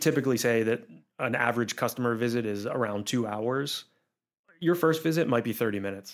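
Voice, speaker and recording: An unremarkable speaking voice, this man has an American accent, a medium pitch, ordinary pitch variation and a fairly quick pace. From Pittsburgh, western Pennsylvania. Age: 30s. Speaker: climbing gym business owner. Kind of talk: interview conversation. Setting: studio.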